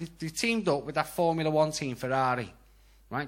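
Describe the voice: A man talks at a fast pace with a Scouse accent. His fairly high pitch and fairly bright tone carry ordinary pitch variation. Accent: Scouse, Liverpool.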